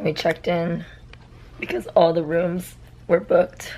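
A woman talks at a fairly slow pace in a fairly low pitch. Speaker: vlogger. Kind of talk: casual vlog chat. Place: home room. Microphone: phone near.

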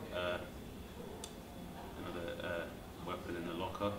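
A man talks while loud background noise fills the clip. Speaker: comedian being interviewed. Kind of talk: interview answer. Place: home room.

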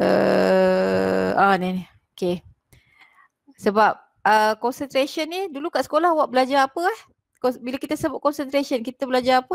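A woman talks at a moderate pace and a high pitch, her intonation lively and broken by long, frequent pauses. The background is quiet, and the sound is dry with no echo. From Malaysia. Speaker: chemistry lecturer. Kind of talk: online lecture / tutorial. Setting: video call with screen share. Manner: explanatory, code-switching between Malay and English. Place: home room. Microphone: headset.

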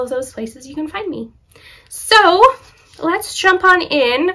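A woman speaks at a fairly slow pace in a raised, projected voice with a bright, sharp tone and very wide pitch swings. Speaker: knitting podcaster. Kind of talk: casual vlog chat. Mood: cheerful, laughs often. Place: home room.

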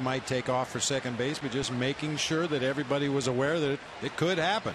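A man speaks at a fairly quick pace with hardly any pauses, his pitch fairly high and his loudness very even. Noticeable background noise runs underneath. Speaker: baseball color commentator, former player. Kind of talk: analytical live sports color commentary. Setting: broadcast booth at ballpark. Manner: relaxed, conversational, occasional fillers.

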